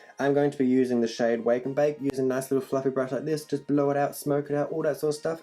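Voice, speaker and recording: A man's fairly high voice in an animated tone at a very fast pace, with music in the background. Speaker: makeup YouTuber. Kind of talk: makeup tutorial. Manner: casual, animated.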